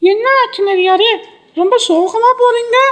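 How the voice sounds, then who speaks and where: A cartoonish character voice, squeaky and extremely high-pitched, speaking at a very slow pace. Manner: warm, friendly.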